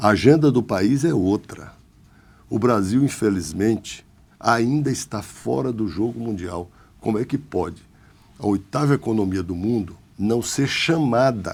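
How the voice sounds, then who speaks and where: A man's normal speaking voice, medium in pitch, with lively intonation and a fairly slow pace, in a very clean recording over a silent background. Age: 60s. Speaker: politician. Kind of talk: interview.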